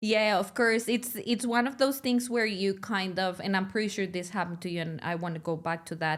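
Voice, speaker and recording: Recorded very cleanly against a silent background, a woman speaks at medium pitch and a moderate pace with ordinary pitch variation. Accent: Spanish. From Mexico, Monterrey. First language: Spanish. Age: 30s. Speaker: podcast host. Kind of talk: interview. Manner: casual, chatty.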